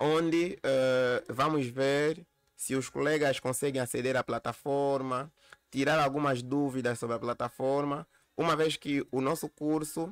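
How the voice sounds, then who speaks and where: Recorded with a dry, close sound and no echo, a man speaks at a fairly high pitch with fairly even intonation. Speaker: university lecturer. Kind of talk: lecture. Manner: halting, repeats words.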